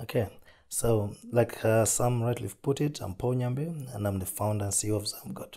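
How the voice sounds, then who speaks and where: This man has a medium pitch and a dark, mellow tone that is somewhat breathy. He speaks at a moderate pace with ordinary pitch variation. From Zambia, rural south. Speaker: entrepreneur. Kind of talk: interview.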